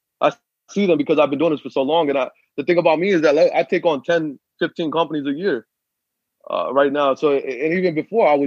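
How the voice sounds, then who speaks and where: Fairly high in pitch, a man with an unremarkable speaking voice talks at a fairly quick pace with fairly even intonation. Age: 20s. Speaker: trucking business owner. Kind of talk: casual interview.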